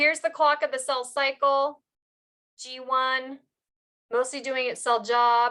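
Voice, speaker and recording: Raising and projecting her high voice, a woman speaks fairly slowly in a flat monotone with a bright, sharp tone and long, frequent pauses. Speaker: biology instructor. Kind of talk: lecture.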